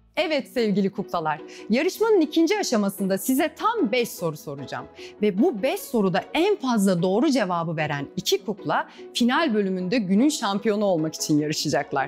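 The speaker is a woman. She keeps a moderate pace with faint music in the background. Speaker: quiz show host. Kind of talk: children's TV presenting. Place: studio. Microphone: lapel.

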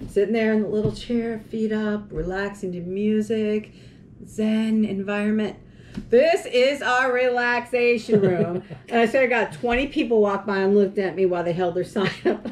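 A woman speaks at a moderate pace with big swings in loudness over light background noise. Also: ordinary pitch variation. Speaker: co-host. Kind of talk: casual vlog chat. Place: home room. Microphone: camera far.

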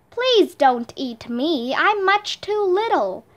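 Putting on a character voice, a woman talks very slowly at an extremely high pitch, her pitch swinging very widely. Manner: pleading, nervous.

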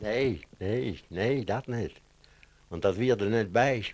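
At a very slow pace, a man speaks in a fairly low voice with ordinary pitch variation. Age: 80s+. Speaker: former farmhand. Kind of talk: interview answer. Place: home room. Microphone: handheld.

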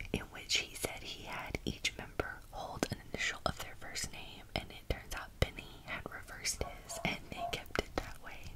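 The voice is whispering, with hardly any pauses. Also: moderate pace. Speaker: ASMR creator. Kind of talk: ASMR whispered magazine flip-through. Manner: whispered, soft-spoken.

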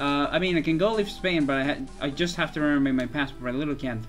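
Music plays behind a man talking at a fairly quick pace. His voice sits fairly high for a man.

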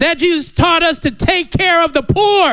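Over a quiet background, a man speaks in an animated, bright, sharp tone. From US. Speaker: pastor. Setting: church. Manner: animated, humorous, vernacular riffing with laughs and exclamations; halting, filler-heavy when explaining the text. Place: church. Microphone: handheld.

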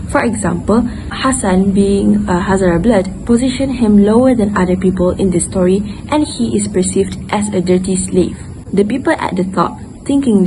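Music plays in the background as a woman speaks. She keeps a moderate pace and ordinary pitch variation. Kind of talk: book report presentation. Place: garden. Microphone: earbuds.

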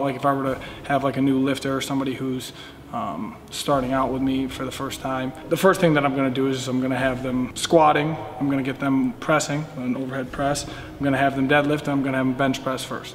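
A man's fairly quick delivery carries fairly even intonation, with light background noise underneath. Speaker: weightlifting coach. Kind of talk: interview answer. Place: gym.

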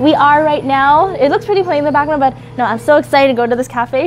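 A woman talking very fast over music in the background. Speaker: vlogger. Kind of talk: casual vlog chat. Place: street. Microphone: lapel.

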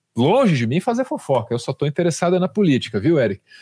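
A man speaks fairly quickly in a high-pitched voice. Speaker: commentator host. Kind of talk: news commentary chat.

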